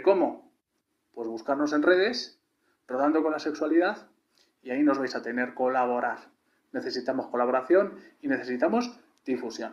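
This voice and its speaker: Moving at a moderate pace, a man with a fairly high pitch speaks with lively intonation. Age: 30s. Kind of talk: video testimonial.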